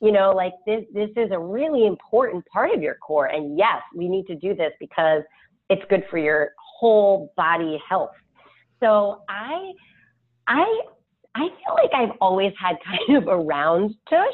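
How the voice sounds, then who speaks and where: A woman with an unremarkable speaking voice, medium pitch, lively intonation and a fairly slow pace. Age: 40s. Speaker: personal trainer. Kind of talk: casual chat.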